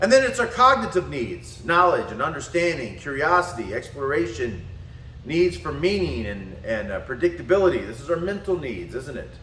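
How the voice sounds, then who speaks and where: Over audible room echo, a man with a fairly high pitch speaks at a moderate pace. His pitch swings very widely and his loudness varies in big swings. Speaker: spiritual and martial arts teacher. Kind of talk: lecture.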